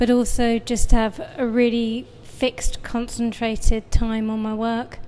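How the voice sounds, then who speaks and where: A woman with a British accent and a fairly high pitch speaks at a fairly slow pace with hardly any pauses, her intonation monotone and flat while her loudness swings widely. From UK. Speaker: painter. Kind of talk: interview. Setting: artist's studio.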